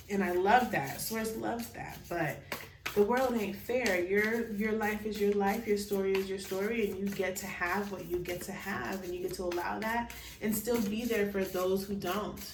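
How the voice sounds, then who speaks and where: Amid audible room echo and noticeable background noise, a woman at medium pitch speaks at a moderate pace with fairly even intonation. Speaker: tarot card reader. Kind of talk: pick-a-card tarot reading.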